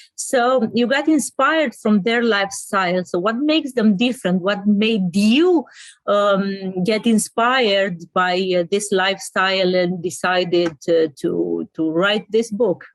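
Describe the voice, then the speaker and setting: A woman with a Romanian accent talks at a fairly slow pace with hardly any pauses, using lively intonation at a medium pitch and very even loudness. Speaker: interviewer. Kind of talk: interview. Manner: halting.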